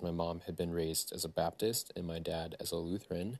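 Over a quiet background, a man with a very deep, low pitch speaks with ordinary pitch variation. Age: 30s. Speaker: podcast host sharing his life story. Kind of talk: personal monologue. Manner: casual with frequent fillers.

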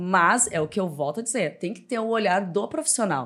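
On a very clean recording with a silent background, a woman with a normal speaking voice talks at a fairly quick pace, her medium pitch carrying lively intonation. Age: 30s. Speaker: personal trainer and gym owner. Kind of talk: casual interview.

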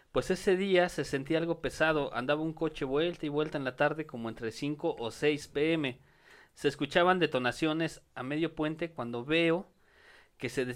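In a very clean recording with a silent background, a man with a plain, everyday voice speaks at a moderate pace, his fairly high pitch showing ordinary variation. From Mexico City (Iztapalapa). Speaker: comedian. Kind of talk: casual chat with comic storytelling.

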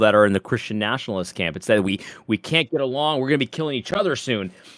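Very wide pitch swings stand out in a dry, close sound with no echo. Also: man. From Puerto Rico. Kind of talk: casual chat. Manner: halting, many repeated words.

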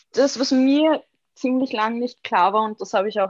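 Against a quiet background, a woman is speaking. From Austria, Vienna. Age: 20s. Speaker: graphic designer. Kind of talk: interview conversation.

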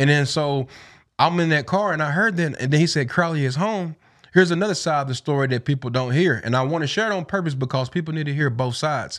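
Someone talks at a very fast pace with a Southern US accent and ordinary pitch variation. The recording is very clean, with a silent background. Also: man, fairly high pitch for a man. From East Tennessee. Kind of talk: casual interview.

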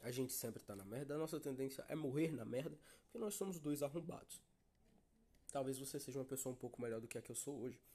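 This voice moves at a very fast pace, with a dark, mellow tone and ordinary pitch variation. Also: man, medium pitch for a man. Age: young. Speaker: podcast host. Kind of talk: casual monologue.

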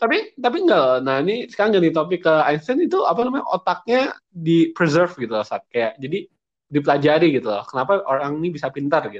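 At a very fast pace with hardly any pauses, a man speaks in a high pitch with very wide pitch swings. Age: 20s. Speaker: podcast co-host. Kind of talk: casual chat.

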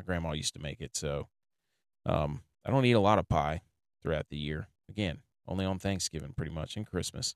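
A soft-spoken man with a very deep, low voice, ordinary pitch variation, a fairly quick pace broken by long, frequent pauses, in a dry, close sound with no echo. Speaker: fantasy football podcast host. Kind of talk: casual solo podcast monologue. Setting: recording in his truck. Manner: speaking a little softly.

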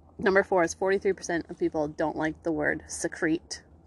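A woman talks at a fairly quick pace in a normal speaking voice with fairly low pitch. The sound is dry and close with no echo. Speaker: podcast host. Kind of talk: casual banter. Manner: casual, chatty.

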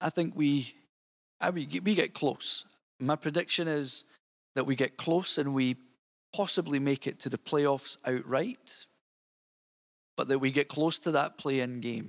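Speaking fairly slowly with a Scottish accent, a man uses ordinary pitch variation and long, frequent pauses on a very clean, dry, close recording with a silent background and no echo. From Scotland. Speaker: podcast host. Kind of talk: solo podcast monologue. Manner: informal, hesitant with fillers.

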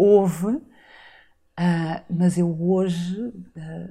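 A woman speaks at a fairly low pitch with a dark, mellow tone and a somewhat breathy quality. The recording is very clean, with a silent background. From Azores, São Miguel. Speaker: retreat facilitator and podcaster. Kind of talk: interview conversation. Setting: studio.

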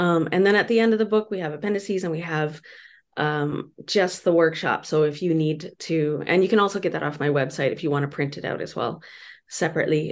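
A woman's very deep, low voice at a moderate pace, with ordinary pitch variation against a quiet background. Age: 50s. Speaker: author and consent educator. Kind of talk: interview.

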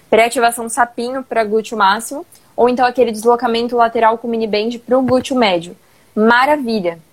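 A woman's ordinary speaking voice, fairly high-pitched, with fairly even intonation and a fairly quick pace. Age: 20s. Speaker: personal trainer. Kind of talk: casual live-stream chat.

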